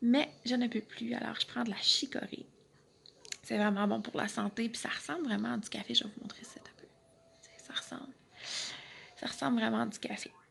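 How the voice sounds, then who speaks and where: A woman with a Quebec accent at a moderate pace, amid noticeable background noise. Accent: Québécois French. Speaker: vlogger with chronic illness. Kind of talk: casual vlog talk. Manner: halting, with many fillers and repeats.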